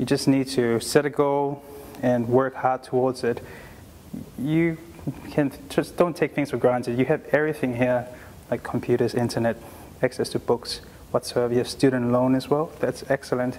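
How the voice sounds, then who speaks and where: A man with a Tongan accent talks at a moderate pace and medium pitch in a monotone, flat delivery broken by long, frequent pauses. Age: 20s. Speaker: doctor. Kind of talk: motivational talk to students. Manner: earnest, encouraging.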